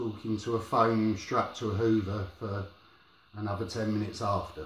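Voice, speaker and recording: A man mumbles at a medium pitch. Audible room echo surrounds his voice. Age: 40s. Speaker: vlogger sharing experience of depression. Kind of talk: personal vlog monologue. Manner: mumbling; halting, hesitant.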